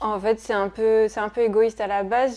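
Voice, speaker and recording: A woman with a dark, mellow tone speaks fairly quickly in a flat monotone. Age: 30s. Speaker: Pilates trainee. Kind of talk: interview testimony. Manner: hesitant, many fillers.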